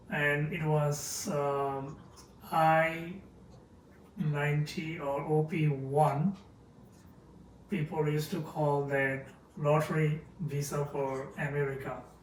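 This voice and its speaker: Somewhat breathy, very slow speech in a Bengali accent, with fairly even intonation, long, frequent pauses and audible room echo. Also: man. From Bangladesh, Dhaka. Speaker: chemist, podcast guest. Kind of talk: interview. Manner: hesitant.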